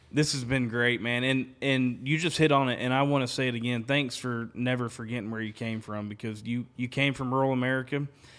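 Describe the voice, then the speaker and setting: Speaking at a fairly quick pace with hardly any pauses, a man with a Southern accent keeps a medium pitch and a monotone, flat intonation. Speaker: podcast host. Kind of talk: casual interview chat. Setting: his home.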